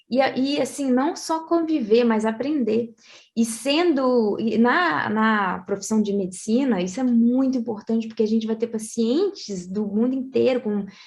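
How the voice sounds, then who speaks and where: A woman speaks at a fairly slow pace with hardly any pauses, her pitch fairly high with ordinary variation. Hers is an unremarkable speaking voice. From Brazil. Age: 20s. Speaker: medical school graduate. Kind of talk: interview.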